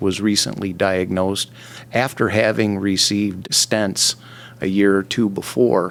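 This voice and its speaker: A man's fairly low-pitched, plain, everyday voice at a moderate pace. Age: 60s. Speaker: railroad worker, heart patient. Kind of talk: interview, personal testimony.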